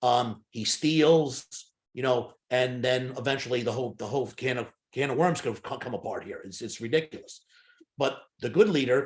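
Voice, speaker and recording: With a medium pitch and ordinary pitch variation, a man speaks at a moderate pace in a somewhat breathy voice. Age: 60s. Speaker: hypnotist and sales trainer. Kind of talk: interview conversation. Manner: halting.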